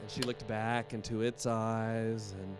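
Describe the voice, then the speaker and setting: There is music behind a man who speaks with an American accent. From West Virginia, Appalachia. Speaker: storyteller. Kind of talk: live storytelling performance.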